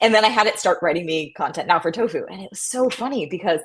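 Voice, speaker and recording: A woman speaks with a Midwestern American accent and lively intonation. Her pace is fairly quick. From US Midwest. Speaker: startup co-founder and podcast host. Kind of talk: casual interview chat.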